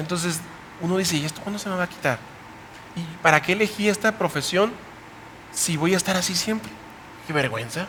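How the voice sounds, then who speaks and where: Amid noticeable background noise, a high-voiced man talks at a fairly quick pace with ordinary pitch variation, broken by long, frequent pauses. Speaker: youth Bible study host, pastor. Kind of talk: panel discussion. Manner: fast.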